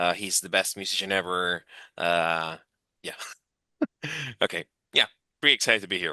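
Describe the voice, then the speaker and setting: Over a quiet background, a man with a very deep, low pitch speaks at a moderate pace in a bright, sharp tone, his loudness swinging widely between long, frequent pauses, all in dry, close sound with no echo. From Argentina. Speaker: music podcast panelist, former reviewer. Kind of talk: casual chat. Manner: animated.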